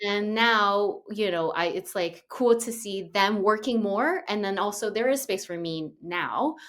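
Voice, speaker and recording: Spoken in a Portuguese accent, the delivery is fairly slow with ordinary pitch variation and hardly any pauses. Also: woman, medium pitch for a woman. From Brazil. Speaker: actress. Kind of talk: casual chat.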